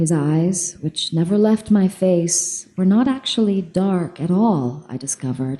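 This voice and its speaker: At a fairly slow pace, a woman speaks with a fairly low pitch, a dark, mellow, somewhat breathy tone, and lively intonation. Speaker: audiobook narrator. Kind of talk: live audiobook reading.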